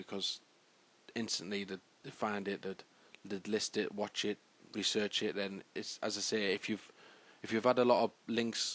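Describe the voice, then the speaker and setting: Monotone, flat intonation from a man with a British accent, fairly low in pitch, at a moderate pace. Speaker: tutorial maker. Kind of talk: tutorial. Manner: halting.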